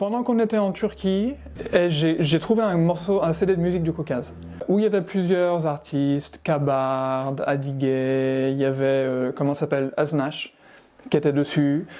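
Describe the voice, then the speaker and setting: A man with a fairly high voice and ordinary pitch variation talks at a fairly slow pace with very even loudness. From France, Savoie. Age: 40s. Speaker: amateur musician. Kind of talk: interview. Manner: hesitant, with many fillers.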